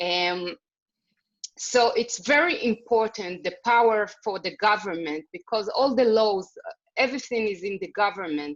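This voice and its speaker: Speaking in an Israeli accent, a woman with a fairly high pitch and lively intonation keeps a moderate pace. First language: Hebrew. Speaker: women's organization leader. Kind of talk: video call interview. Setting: video call. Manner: halting.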